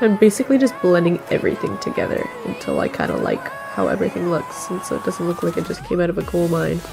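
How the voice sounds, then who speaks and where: A woman speaking at a very fast pace, with music in the background. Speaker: makeup vlogger. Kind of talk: makeup tutorial voiceover. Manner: casual.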